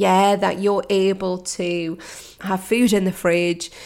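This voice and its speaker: A woman speaks at a fairly slow pace in a British accent. Her pitch sits in the medium range. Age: 40s. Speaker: mindset coach. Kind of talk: solo podcast monologue.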